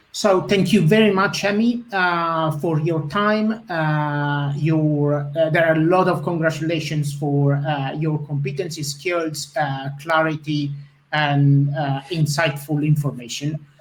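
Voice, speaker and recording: Someone with an Italian accent speaks at a fairly slow pace with hardly any pauses. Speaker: webinar host. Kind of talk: webinar Q&A. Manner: halting, many fillers.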